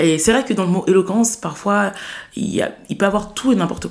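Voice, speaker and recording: A woman at a fairly quick pace, with ordinary pitch variation and noticeable background noise. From France, Saint-Denis (Paris suburbs). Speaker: student and eloquence contest winner. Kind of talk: interview conversation.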